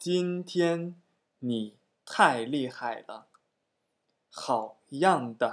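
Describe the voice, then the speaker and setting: Lively intonation marks this man's speech. He talks very slowly, with long, frequent pauses. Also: fairly high pitch for a man, big swings in loudness, very clean recording, silent background. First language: Chinese (speaking Japanese). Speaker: Chinese language teacher. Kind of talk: language lesson dialogue.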